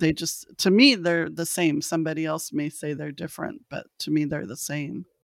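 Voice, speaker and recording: Speaking with a Californian accent, a woman uses a very deep, low pitch with vocal fry, ordinary pitch variation, hardly any pauses and big swings in loudness. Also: moderate pace, very clean recording, silent background. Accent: General American (Californian). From Los Angeles, California. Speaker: thanatologist and researcher. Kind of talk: interview.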